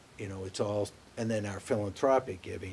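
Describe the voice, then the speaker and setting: A man with an American accent speaks in a fairly low, somewhat breathy voice. His intonation is fairly even and his pace fairly slow. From Worcester, Massachusetts. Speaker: bank executive. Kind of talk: interview.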